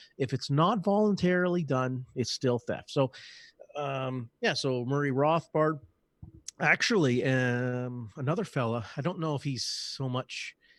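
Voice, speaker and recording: A man with a Canadian accent and a plain, everyday voice speaks fairly slowly at a fairly high pitch with ordinary pitch variation, in a dry, close sound with no echo. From Canada. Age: 40s. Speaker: podcast guest, anarchist activist. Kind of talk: casual interview.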